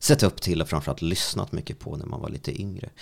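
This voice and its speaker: A man speaks with a very deep, low pitch and vocal fry in a very clean recording with a silent background. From Sweden, Strängnäs. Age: 30s. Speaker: radio host. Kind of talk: casual interview. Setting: studio.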